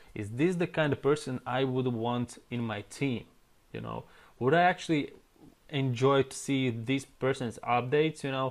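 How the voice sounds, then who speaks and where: Speaking with a non-native accent, a man talks at a moderate pace. His medium-pitched voice has fairly even intonation. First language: not English. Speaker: online marketing trainer. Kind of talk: tutorial. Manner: casual.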